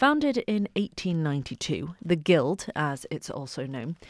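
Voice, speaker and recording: Fairly low in pitch, a woman speaks at a moderate pace with lively intonation. The recording is very clean with a silent background and a dry, close sound with no echo. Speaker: radio presenter. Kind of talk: radio show presenting and interviewing. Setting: radio studio.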